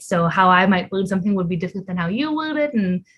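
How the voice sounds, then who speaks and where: A woman talks at a very fast pace with a Canadian accent. Her voice is somewhat breathy and medium in pitch. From Ontario, Canada. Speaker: volunteer translator, PhD student. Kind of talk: interview. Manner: halting, many fillers.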